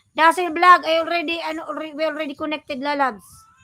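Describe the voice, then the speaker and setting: Music plays in the background. The voice is raised and projected, at a moderate pace. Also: woman. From Bicol region, Philippines. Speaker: vlogger, live streamer. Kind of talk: live stream chat with viewers.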